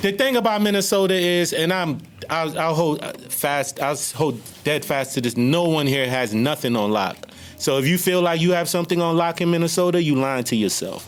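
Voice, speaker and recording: The intonation is lively and the pace moderate. Loudness stays very even, with music in the background. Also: man, fairly high pitch for a man. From US East Coast. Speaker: podcast guest. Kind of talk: casual chat.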